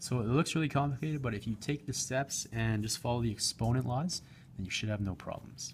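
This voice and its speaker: Somewhat breathy, a man talks at a fairly quick pace with a medium pitch and ordinary pitch variation. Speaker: math teacher. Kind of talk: tutorial. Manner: fast.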